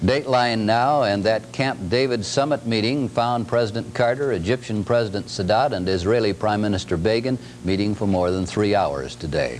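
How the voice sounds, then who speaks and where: A man's fairly low voice at a moderate pace, with very even loudness and music in the background. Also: ordinary pitch variation. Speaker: television news anchor. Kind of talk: television news anchor delivery. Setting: 1970s broadcast news aircheck.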